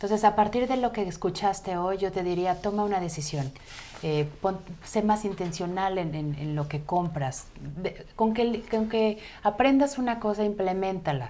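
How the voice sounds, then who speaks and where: A woman's medium-pitched, plain, everyday voice with lively intonation at a moderate pace. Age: 40s. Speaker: health coach. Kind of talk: interview on a live web show. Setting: studio.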